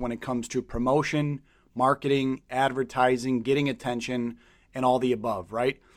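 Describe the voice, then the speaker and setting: On a very clean recording with a silent background, a man of medium pitch talks at a moderate pace in an enthusiastic tone. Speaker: podcast host and business coach. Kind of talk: interview.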